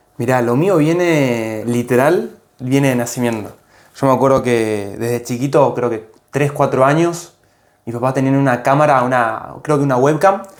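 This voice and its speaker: Amid audible room echo, a man speaks at a moderate pace with a medium pitch and ordinary pitch variation. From Argentina, Tierra del Fuego (Ushuaia). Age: 20s. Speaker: content creator. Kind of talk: interview. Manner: casual, hesitant.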